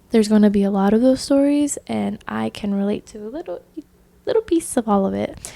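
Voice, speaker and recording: This is a woman speaking. Her pace is moderate. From US South, Orlando, Florida. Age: 20s. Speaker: podcast host. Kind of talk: personal testimony monologue. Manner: casual, filler-heavy (um).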